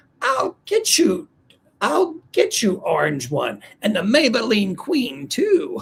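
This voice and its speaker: A man's put-on character voice at an extremely high pitch and a fairly slow pace. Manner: cackling, menacing.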